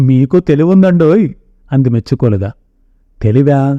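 Someone does plain reading aloud. The voice rises and falls with lively intonation.

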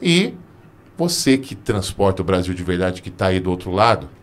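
A man with a very deep, low pitch delivers his words at a moderate pace. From interior of São Paulo state, Brazil. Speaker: podcast host. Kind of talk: scripted show outro; casual interview chat. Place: studio. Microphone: studio mic.

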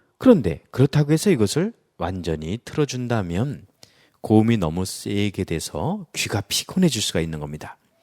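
A man's fairly low voice has a dark, mellow tone and very wide pitch swings at a moderate pace. The recording is very clean with a silent background, and the sound is dry and close with no echo. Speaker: lecturing and academy-setup instructor. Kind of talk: tutorial. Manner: clear, instructive.

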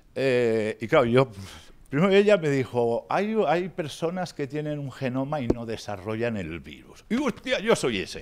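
A man at a fairly slow pace, with very wide pitch swings, big swings in loudness and light background noise. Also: medium pitch for a man. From Spain. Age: 50s. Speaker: patient speaker, ex-drug user and novelist. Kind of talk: talk to pharmacists, personal testimony. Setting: workshop with audience. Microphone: handheld.

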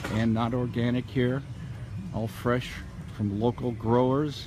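Over noticeable background noise, a man talks at a fairly slow pace with flat, monotone intonation. The sound is dry, with no echo. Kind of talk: casual walking vlog commentary. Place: market. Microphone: phone near.

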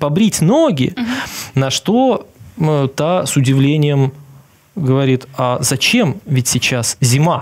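A man's somewhat breathy voice at a very slow pace, with lively intonation over a quiet background. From Belarus. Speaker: journalist and TV correspondent; journalist, TV correspondent. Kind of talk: casual interview chat. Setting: studio. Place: studio. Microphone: lapel.

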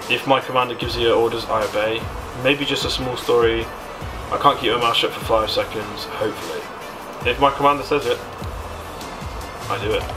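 Clear music sits in the background as a man speaks at a fairly quick pace. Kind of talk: casual commentary reading quiz aloud. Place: home room. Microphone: studio mic.

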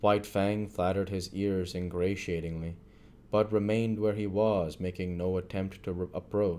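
The speaker reads in a natural voice, keeping the intonation fairly even.

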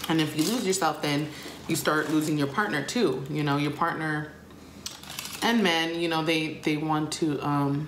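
In a room with audible echo and light background noise, a woman with a very deep, low pitch talks at a moderate pace with fairly even intonation. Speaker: vlogger. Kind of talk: casual vlog chat. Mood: relaxed, confiding. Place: kitchen. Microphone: phone near.

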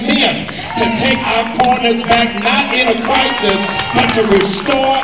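Clear music plays behind a man speaking at a fairly slow pace. Audible room echo is present. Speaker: pastor or community leader. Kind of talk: impassioned public address. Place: church. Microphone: camera far.

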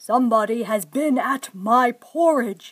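A woman puts on a gruff character voice at a high pitch. She speaks at a fairly slow pace. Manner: grumbling.

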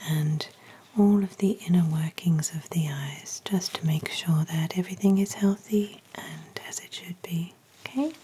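Soft-spoken and gentle in tone, a woman talks at a fairly slow pace in a fairly low pitch with ordinary pitch variation. Light noise can be heard in the background. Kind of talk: soft-spoken role-play instructions. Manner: soft-spoken, gentle ASMR murmur. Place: home room.

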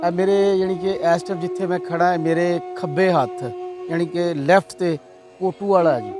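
A man speaks in a high voice with fairly even intonation. Clear music plays behind him. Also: dry sound with no echo. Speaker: YouTube interviewer. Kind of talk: on-location introduction to camera. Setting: outdoors. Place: waterside. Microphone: handheld.

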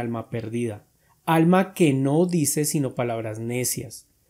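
A man talks at a fairly slow pace. His tone is dark and mellow, with lively intonation. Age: 40s. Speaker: atheist YouTuber answering comments. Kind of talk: commentary reading and answering viewer comments.

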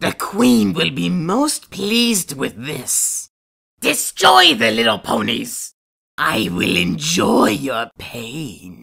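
A man uses a raspy, put-on character voice at medium pitch. He speaks at a very slow pace. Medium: voice reel. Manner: menacing.

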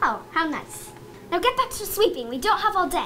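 Over clear background noise, a woman puts on a character voice at an extremely high pitch, speaking at a moderate pace. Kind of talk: superior, haughty. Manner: condescending.

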